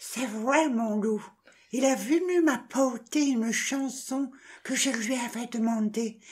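A man puts on a character voice, speaking at a fairly slow pace with an extremely high pitch. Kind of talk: lively comic reading. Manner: bossy, mocking, then coaxing and cooing.

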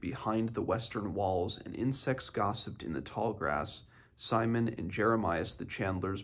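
The text is read aloud. The reader's voice sounds natural.

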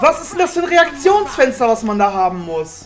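Someone shouts at a moderate pace over music in the background. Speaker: let's play gamer. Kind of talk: casual gaming commentary. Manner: shouting, cursing.

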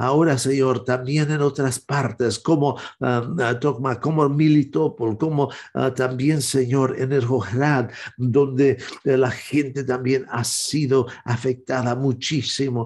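Medium in pitch and fairly even in intonation, the man's speech goes at a very slow pace. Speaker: evangelist and prayer show host. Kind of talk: fervent intercessory prayer, addressing God directly. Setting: online broadcast. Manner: earnest, pleading, solemn; halting, with frequent filler hesitations. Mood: earnest, pleading prayer. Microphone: webcam.

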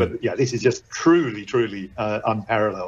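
A man talks at a fairly quick pace in a somewhat breathy voice. There is light background noise. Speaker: guest. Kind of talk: interview answer. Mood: enthusiastic, proud. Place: office. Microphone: video call.

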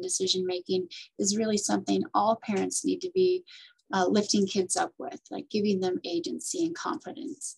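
Over a quiet background, a woman talks at a moderate pace in a somewhat breathy voice. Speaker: parenting coach and nonprofit director. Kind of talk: interview. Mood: warm, thoughtful. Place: office. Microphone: webcam.

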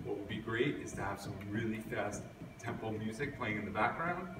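A man at a moderate pace with ordinary pitch variation, against noticeable background noise. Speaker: physical education teacher. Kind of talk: tutorial. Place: hall. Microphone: camera far.

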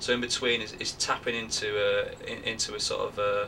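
A man with a Northern English accent talks at a moderate pace over light background noise. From Northern England. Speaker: actor. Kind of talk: interview answer. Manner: hesitant. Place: home room. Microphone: camera far.

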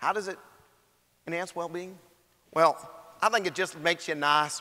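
A man puts on a drawling character voice in a South Louisiana accent, pitched high, with fairly even intonation at a moderate pace. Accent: South Louisiana drawl.

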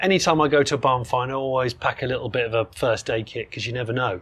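With an English accent, a man at medium pitch talks very fast, his pitch varying in an ordinary way. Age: 40s. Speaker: classic car presenter. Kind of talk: casual chat.

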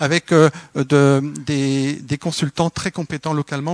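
Against a quiet background with a dry sound and no echo, a man with a fairly high pitch talks at a fairly slow pace in a monotone, flat intonation. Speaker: development agency coordinator; panelist. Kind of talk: panel discussion. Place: hall. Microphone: microphone problems at start, switched mic.

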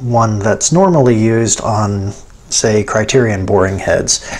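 The man's voice shows ordinary pitch variation. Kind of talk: tutorial. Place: workshop.

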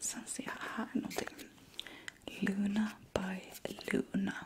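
A woman whispers. Her tone is relaxed. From Sweden. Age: 30s. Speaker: ASMR creator. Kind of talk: ASMR unboxing talk to camera. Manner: soft-spoken, relaxed, intimate. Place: home room.

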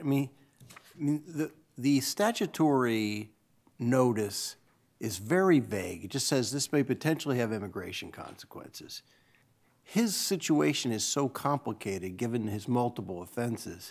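A man's lively intonation at a moderate pace. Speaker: appellate judge. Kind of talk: questioning from the bench. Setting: courtroom. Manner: halting. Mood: skeptical, probing. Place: hall. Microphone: podium.

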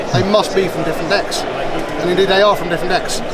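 Crowd noise fills the background as a man talks at a very fast pace. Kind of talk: trick demonstration patter. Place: hall. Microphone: camera far.

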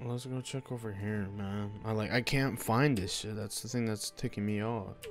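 Over music in the background, the speaker talks at a moderate pace with fairly even intonation. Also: man, fairly low pitch for a man. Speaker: gaming YouTuber. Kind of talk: casual gameplay commentary.

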